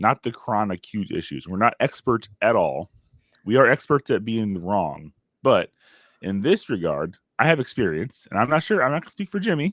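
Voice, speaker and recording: On a very clean recording with a silent background, a man with vocal fry talks at a moderate pace, his pitch swinging very widely. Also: medium pitch for a man. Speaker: podcast host, father. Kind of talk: casual chat.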